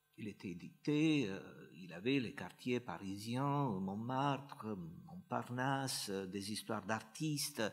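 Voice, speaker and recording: In a Romanian accent, this dark, mellow voice moves with lively intonation at a very slow pace. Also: man. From northern Romania. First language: Romanian (speaking French). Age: 60s. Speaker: playwright. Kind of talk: conference talk. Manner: hesitant, many fillers.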